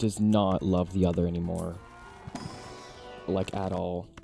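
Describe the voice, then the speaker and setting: A man speaks fairly slowly. In the background, music is playing. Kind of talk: casual talk to camera. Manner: natural everyday tone, not the softer girly voice.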